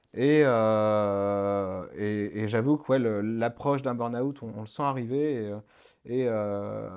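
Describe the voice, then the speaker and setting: The background is quiet as a man talks at a very slow pace. His intonation is fairly even. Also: medium pitch for a man. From France, Le Mans. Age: 30s. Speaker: start-up founder. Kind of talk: radio interview. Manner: halting, many fillers.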